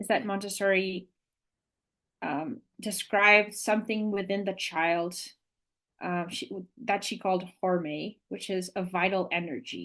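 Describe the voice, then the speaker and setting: Against a quiet background, a woman with a non-native accent talks at a fairly slow pace, her medium-pitched voice keeping a fairly even intonation. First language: not English. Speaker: Montessori educator. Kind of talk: podcast interview. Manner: halting.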